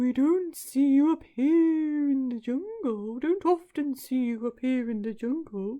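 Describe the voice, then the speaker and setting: Using a put-on character voice, a man speaks at an extremely high pitch in a sing-song way. His pace is fairly slow. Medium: read story.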